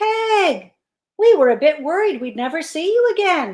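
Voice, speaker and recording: A squeaky put-on character voice swoops through very wide pitch swings at a moderate pace. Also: woman, extremely high pitch for a woman. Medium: read story.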